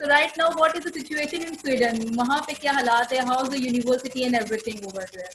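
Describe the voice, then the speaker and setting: A high-pitched woman at a fairly quick pace, hardly any pauses, big swings in loudness, over light background noise. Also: ordinary pitch variation. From Pakistan. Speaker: education consultant. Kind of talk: interview. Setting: video call. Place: office. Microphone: video call.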